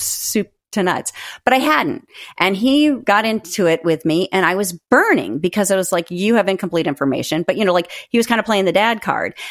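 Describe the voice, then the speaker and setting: A woman with an American accent and an unremarkable speaking voice talks fairly quickly at medium pitch, her intonation lively and her loudness very even. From US Northeast and Midwest. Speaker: author. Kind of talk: casual chat.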